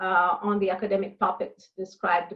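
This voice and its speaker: The woman has a non-native accent. She talks at a moderate pace. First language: not English. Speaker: university international programs director. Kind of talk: interview. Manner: halting, many fillers.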